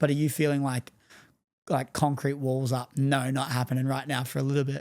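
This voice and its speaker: A man speaks at a fairly quick pace in a medium pitch with monotone, flat intonation, on a very clean recording with a silent background. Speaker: podcast host. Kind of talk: casual interview chat.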